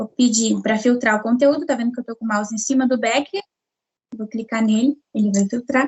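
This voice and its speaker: The delivery is fairly quick. Intonation stays fairly even. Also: woman, fairly high pitch for a woman. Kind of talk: tutorial. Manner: clear.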